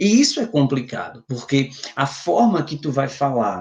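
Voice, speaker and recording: This man's voice sits fairly high in pitch. It is somewhat breathy. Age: 30s. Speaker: youth ministry speaker. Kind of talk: lecture.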